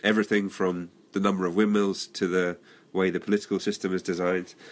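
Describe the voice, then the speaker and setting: A man with a British accent talks in a very deep, low voice. The recording is very clean, with a silent background. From England. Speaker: author. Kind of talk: interview.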